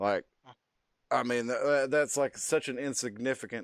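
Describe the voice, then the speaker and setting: Heard on a very clean recording with a silent background, a man with a Texas accent speaks at a moderate pace with fairly even intonation. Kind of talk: casual chat. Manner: halting.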